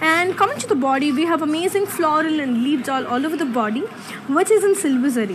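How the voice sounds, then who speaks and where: Very fast speech over noticeable background noise. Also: woman. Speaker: presenter. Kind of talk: live sales presentation. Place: shop.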